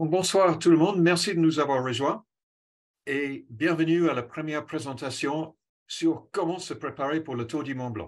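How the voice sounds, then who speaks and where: A man talks in a fairly high voice with an English accent. His pitch varies in an ordinary way. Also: fairly slow pace. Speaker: cycling coach. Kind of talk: presentation. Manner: hesitant, with fillers.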